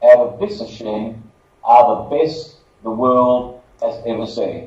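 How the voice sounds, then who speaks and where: In an Australian accent, a man talks at a fairly slow pace. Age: 60s. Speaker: marketing director and former lawyer. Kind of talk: conference presentation.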